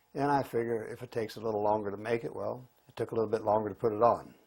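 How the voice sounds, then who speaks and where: With fairly even intonation and a medium pitch, the man talks at a fairly quick pace. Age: 60s. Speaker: client. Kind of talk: testimony.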